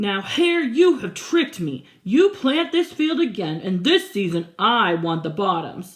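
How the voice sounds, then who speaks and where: A woman performs a put-on character voice at a fairly slow pace with hardly any pauses. Her fairly high pitch moves in very wide swings. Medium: read story.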